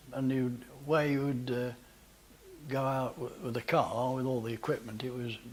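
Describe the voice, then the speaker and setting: Noticeable background noise behind a man's voice at a medium pitch. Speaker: photographer, managing director. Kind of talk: interview answer. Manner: hesitant, conversational.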